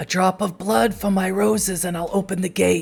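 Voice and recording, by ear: A man puts on a character voice. His pitch is high.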